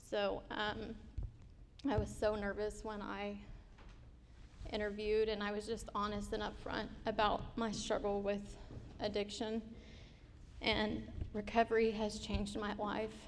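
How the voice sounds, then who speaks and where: A woman speaks at a fairly slow pace in a flat monotone with vocal fry, leaving long, frequent pauses, and the room echo is audible. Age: 30s. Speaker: scholarship recipient, student. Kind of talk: testimony. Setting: stage with audience.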